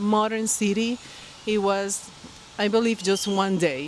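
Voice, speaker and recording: A woman speaks with a Colombian accent at a medium pitch. Her pace is moderate, and there is noticeable background noise. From Colombia, Barranquilla. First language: Spanish. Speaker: knitting podcaster. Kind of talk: casual vlog talk to camera. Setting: outdoors by a pool. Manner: halting, many fillers.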